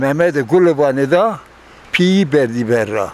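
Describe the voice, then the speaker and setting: Noticeable background noise surrounds a man speaking. He talks at a very slow pace and a fairly high pitch. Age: 80s+. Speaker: elderly villager recounting oral history. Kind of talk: interview.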